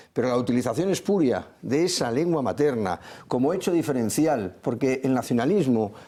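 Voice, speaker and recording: Speaking at a moderate pace with a Catalan accent, a man has a dark, mellow tone, medium pitch and lively intonation. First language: Catalan (speaking Spanish). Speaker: political commentator. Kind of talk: TV panel debate. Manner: halting, with repetitions.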